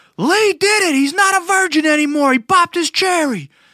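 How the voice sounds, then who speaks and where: Shouting at an extremely high pitch and a fairly quick pace, the speaker puts on a character voice with a New York accent. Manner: screaming, excited.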